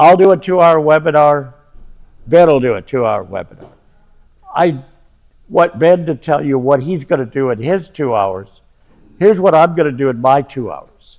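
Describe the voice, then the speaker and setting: Long, frequent pauses break up a man's fairly high-pitched speech with lively intonation. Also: moderate pace. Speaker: financial educator, former professor. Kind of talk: seminar lecture. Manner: loud at times, animated.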